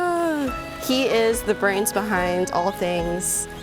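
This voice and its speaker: A woman speaks at a very slow pace. Music runs in the background. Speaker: farmer. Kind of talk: interview answer.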